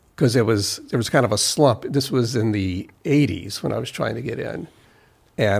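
A somewhat breathy man's voice at medium pitch, moderate in pace with ordinary pitch variation. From US South, South Carolina. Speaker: recording engineer. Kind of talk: casual chat. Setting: studio.

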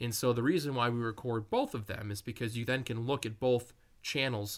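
Recorded very cleanly against a silent background, a man with an American accent uses a normal speaking voice at medium pitch. He talks at a moderate pace with ordinary pitch variation. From rural Wisconsin. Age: 30s. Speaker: paranormal investigator, group founder. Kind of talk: interview.

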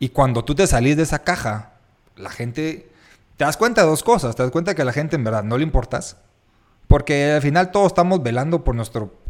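This man's fairly high voice swings very widely in pitch. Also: very clean recording, silent background. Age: 30s. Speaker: podcast host, architect. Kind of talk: casual chat.

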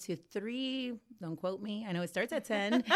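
A woman with an American accent speaks at a fairly slow pace with ordinary pitch variation in a plain, everyday voice, on a very clean recording with a silent background. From US Midwest, Cleveland, Ohio. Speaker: business owner and author. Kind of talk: interview.

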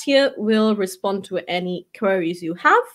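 On a very clean recording with a silent background, a woman with a Portuguese accent speaks at a medium pitch and a fairly slow pace, with ordinary pitch variation. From Portugal. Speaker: real estate agency owner. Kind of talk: interview.

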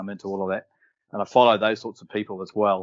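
A man with an Australian accent. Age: 50s. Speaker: property developer. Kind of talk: interview.

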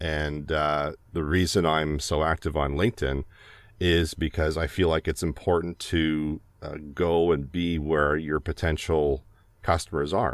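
Someone with a Canadian accent speaks at a fairly slow pace with fairly even intonation. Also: man, very deep, low pitch for a man. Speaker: voiceover artist. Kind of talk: casual chat. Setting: video call.

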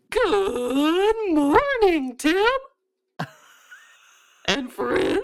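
This is a squeaky, put-on character voice at an extremely high pitch. Its pitch swings very widely. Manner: cheerful, greeting.

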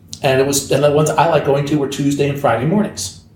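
A man speaks at a fairly quick pace. Noticeable background noise and audible room echo are present. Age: 60s. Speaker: sports card hobby veteran. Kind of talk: casual chat.

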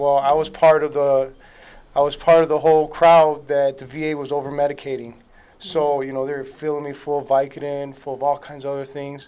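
A man's fairly high, dark, mellow voice, monotone and flat, at a fairly quick pace with big swings in loudness. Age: 30s. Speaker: war veteran. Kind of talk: interview.

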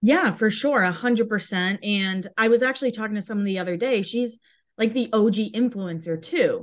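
A woman speaks at a fairly quick pace in a fairly high voice with ordinary pitch variation, an unremarkable speaking voice. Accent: American. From Massachusetts, US. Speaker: Instagram fan page creator. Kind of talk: casual interview.

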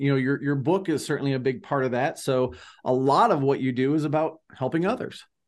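A man speaks at a moderate pace in a normal speaking voice, pitched fairly high. The background is quiet. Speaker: podcast co-host. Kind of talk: interview. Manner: upbeat.

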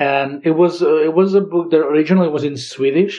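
A man speaks with a Catalan accent. His pace is moderate. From Catalonia, Girona. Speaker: linguistics PhD researcher. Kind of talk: interview. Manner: halting.

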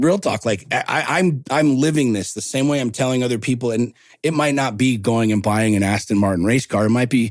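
Speaking in a normal speaking voice, a man keeps a medium pitch and ordinary pitch variation at a fairly quick pace. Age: 40s. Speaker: entrepreneur and motivational coach. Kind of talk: casual chat.

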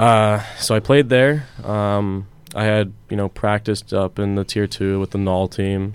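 With an American accent, a man speaks in a normal speaking voice, fairly low in pitch, at a fairly slow pace with fairly even intonation. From Pittsburgh, US. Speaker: professional hockey player. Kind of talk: radio interview. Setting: studio.

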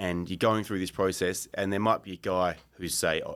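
Speaking at a fairly quick pace, a man with an Australian accent and a very deep, low pitch is heard on a very clean recording with a silent background. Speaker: strength and conditioning coach. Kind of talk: casual interview.

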